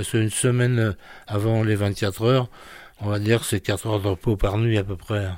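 A man with a fairly low pitch speaks at a moderate pace, captured on a very clean recording against a silent background. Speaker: former racing mechanic. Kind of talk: oral-history interview recollection, casual. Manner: animated.

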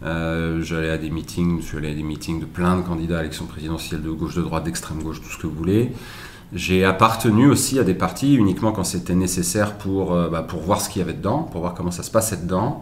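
A man speaks with a very deep, low pitch and ordinary pitch variation. Noticeable background noise and audible room echo fill the recording. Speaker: presidential candidate. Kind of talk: interview. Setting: live stream.

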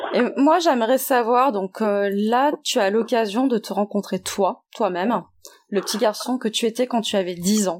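On a very clean recording with a silent background, a woman talks in a normal speaking voice at a fairly slow pace, with fairly high pitch and ordinary pitch variation. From French Guiana and Martinique. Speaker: podcast host. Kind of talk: interview.

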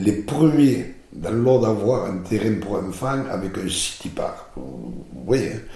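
A man with a southern French accent and a fairly low voice talks at a very slow pace with hardly any pauses and lively intonation, with audible room echo and noticeable background noise. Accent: southern French (midi). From southern France. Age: 60s. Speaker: mayor, former mason and presidential candidate. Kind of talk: interview. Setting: his office.

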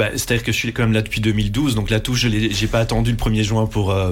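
Over noticeable background noise, a man speaks at a fairly low pitch with very even loudness. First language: Dutch (speaking French). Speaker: radio group executive. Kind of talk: interview. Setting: studio.

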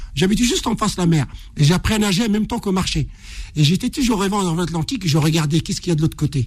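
With lively intonation, a high-voiced man speaks at a very fast pace. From Morocco (Casablanca). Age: 60s. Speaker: ultra-distance runner. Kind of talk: interview storytelling.

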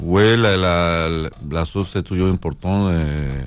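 A man with a northern Mexican accent talks in a very deep, low pitch with ordinary pitch variation. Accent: Mexican, northern Mexico. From northern Mexico (Sonora). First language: Spanish (speaking French). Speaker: chef. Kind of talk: casual chat.

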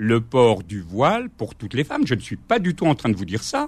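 The pitch swings very widely. The voice is somewhat breathy. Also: man. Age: 60s. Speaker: former teacher and school inspector. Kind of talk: radio interview.

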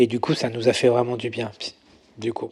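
There is noticeable background noise in this clip. A man talks at a medium pitch. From Paris region, France. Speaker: makeup artist. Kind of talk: interview conversation. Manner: hesitant, many fillers.

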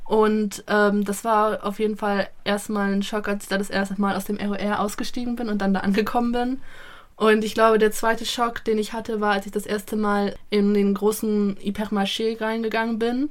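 At a fairly high pitch and moderate pace, a woman speaks with monotone, flat intonation. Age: 20s. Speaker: former volunteer, student. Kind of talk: interview. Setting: studio by a rainy window.

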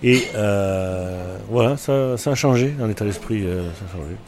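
A man with a fairly low pitch and ordinary pitch variation talks at a very slow pace, with audible room echo and music in the background. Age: 60s. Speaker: restaurant owner. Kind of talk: casual interview. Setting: in a bar. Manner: halting.

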